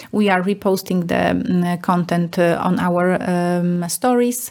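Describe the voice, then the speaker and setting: This is a woman with a Polish accent. Her pitch is medium. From Poland. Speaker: marketing director. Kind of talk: interview.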